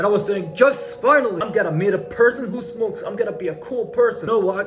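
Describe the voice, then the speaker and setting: Music plays in the background as a man talks at a very fast pace in an animated tone. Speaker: comedic storyteller. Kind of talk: comedic storytelling monologue.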